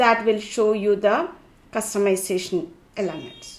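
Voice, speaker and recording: In a Keralan accent, a woman speaks at a fairly slow pace. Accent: Indian English (Malayali). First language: Malayalam. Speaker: tech tutorial creator. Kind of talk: tutorial.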